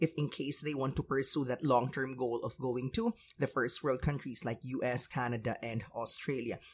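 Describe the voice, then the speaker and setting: A man speaks in a somewhat breathy voice. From Philippines, Davao. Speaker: podcast host and English teacher. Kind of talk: podcast interview.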